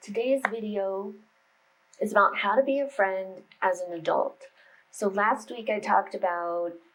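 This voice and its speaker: In a normal speaking voice, a woman with an American accent talks at a fairly slow pace, with medium pitch and ordinary pitch variation. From United States. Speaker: meditation and spirituality YouTuber. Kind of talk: casual vlog talk to camera. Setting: home office. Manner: chatty, informal.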